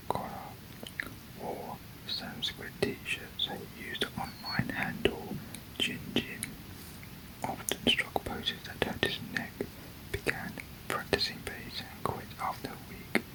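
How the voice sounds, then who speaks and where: Someone whispers at a fairly slow pace with long, frequent pauses amid noticeable background noise. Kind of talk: whispered ASMR reading of a manga. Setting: close-mic studio recording with a desk microphone. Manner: whispered, soft-spoken.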